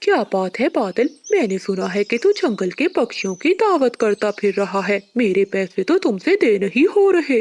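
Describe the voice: Delivered at a moderate pace, a cartoonish character voice sits at a fairly high pitch.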